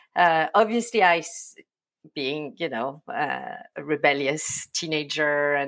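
A woman with a French accent talks at a fairly slow pace. The recording is very clean, with a silent background. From France, Provence. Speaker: agency owner. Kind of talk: interview.

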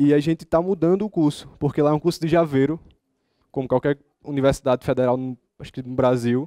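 Very fast speech from a man with a strong northeastern Brazilian accent, fairly high-pitched for a man, dark, mellow tone, big swings in loudness, quiet background. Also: ordinary pitch variation. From Brazilian Northeast. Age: 20s. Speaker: software developer and student; conference speaker. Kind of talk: conference talk. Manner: casual, informal. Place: hall.

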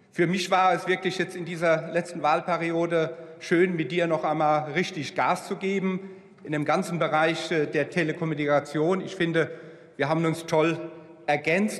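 A man's high-pitched, monotone voice with flat intonation at a moderate pace. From Germany, Rhineland-Palatinate. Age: 60s. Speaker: politician. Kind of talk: parliamentary speech. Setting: parliament chamber. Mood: warm, reflective, grateful. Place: hall. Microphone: podium.

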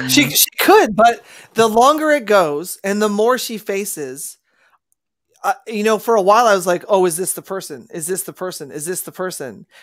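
Over a quiet background, a woman with a medium-pitched voice and an animated tone speaks at a moderate pace, her pitch swinging very widely and her loudness shifting a lot. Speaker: show host. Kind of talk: casual panel chat. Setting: video call. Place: home room.

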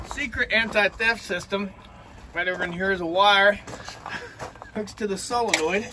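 Raised, projected high male voice at a moderate pace, long and frequent pauses, fairly even intonation and noticeable background noise. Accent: American. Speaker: farmer. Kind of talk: casual show-and-tell. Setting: outdoors.

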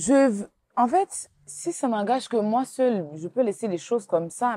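A woman speaks with lively intonation in a dark, mellow tone. The sound is dry, with no echo. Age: 30s. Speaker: blogger. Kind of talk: interview. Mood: earnest, somewhat defensive.

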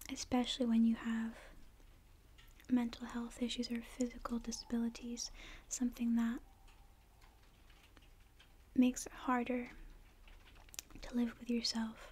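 A soft-spoken woman with a gentle tone talks at a high pitch in a monotone, flat way, with long, frequent pauses. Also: moderate pace. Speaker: video creator. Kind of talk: soft-spoken advice talk, ASMR-style. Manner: soft-spoken, gentle, close to mic. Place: home room. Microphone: studio mic.

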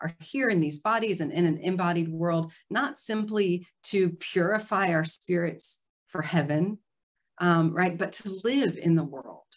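Against a quiet background, a woman speaks at a fairly slow pace and fairly low pitch, with ordinary pitch variation. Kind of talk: lecture. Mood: earnest, warm. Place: home room. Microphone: video call.

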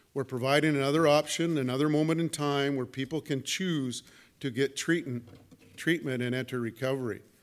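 A man with a Canadian accent speaks at a fairly quick pace with fairly even intonation and a fairly high pitch. He has an ordinary speaking voice. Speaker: police chief. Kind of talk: press conference statement. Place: hall. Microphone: podium.

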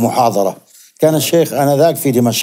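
A man speaks in a dark, mellow tone with ordinary pitch variation. The background is quiet. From Zarqa, Jordan; Jordan. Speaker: hadith scholar; guest. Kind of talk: interview. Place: studio. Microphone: lapel.

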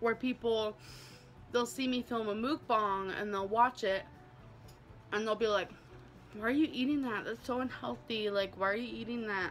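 A woman at a moderate pace, with long, frequent pauses, fairly even intonation and light background noise. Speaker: food vlogger. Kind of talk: casual vlog chat.

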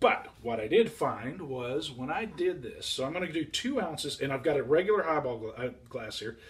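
With lively intonation and light background noise, a man talks at a moderate pace. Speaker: drink reviewer. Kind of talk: product review tutorial. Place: bar. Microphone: camera far.

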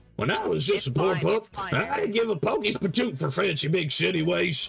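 A man speaks loudly in a put-on character voice with a high pitch. His pace is fairly quick. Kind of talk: folksy slang. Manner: loud, exaggerated.

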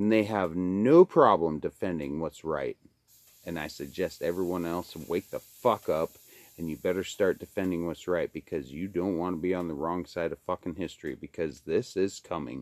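A man speaks with a very deep, low pitch. His pace is moderate, with ordinary pitch variation. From Alaska, Kenai Peninsula; Alaska. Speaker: video blogger. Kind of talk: profane rant monologue. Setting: at home by a wood stove. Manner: animated. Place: home room. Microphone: phone near.

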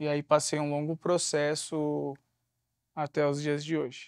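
Dry sound with no echo against a quiet background. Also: man. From São Paulo, Capão Redondo; São Paulo. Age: 30s. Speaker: former prisoner, social entrepreneur and speaker. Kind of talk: interview. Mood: reflective, earnest. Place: studio.

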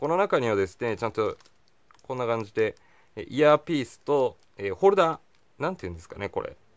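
Against a quiet background, a man speaks fairly quickly at a fairly high pitch, his pitch swinging very widely and his loudness rising and falling sharply. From Japan. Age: 20s. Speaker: gadget reviewer YouTuber. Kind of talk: casual product review talking to camera. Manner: cheerful, energetic. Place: home room. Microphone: phone near.

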